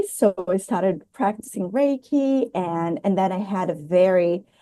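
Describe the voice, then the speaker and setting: This woman speaks in a Portuguese accent at a fairly slow pace, with lively intonation. Her tone is dark and mellow, and the background is quiet. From Brazil. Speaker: spiritual healer. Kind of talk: interview.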